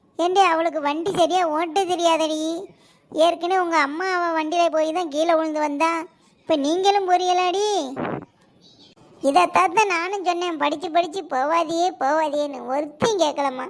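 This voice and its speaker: A woman does a cartoonish character voice at an extremely high pitch, speaking at a fairly slow pace with fairly even intonation. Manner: scolding.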